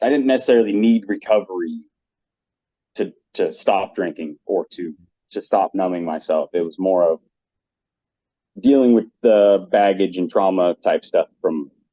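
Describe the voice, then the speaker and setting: A man at a moderate pace, with long, frequent pauses and a dry, close sound with no echo. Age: 40s. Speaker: podcast guest. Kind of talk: casual chat.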